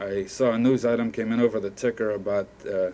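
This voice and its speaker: Here a man speaks at a moderate pace. His pitch is fairly low. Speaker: radio reporter. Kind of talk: 1950s radio panel discussion. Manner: hesitant, conversational.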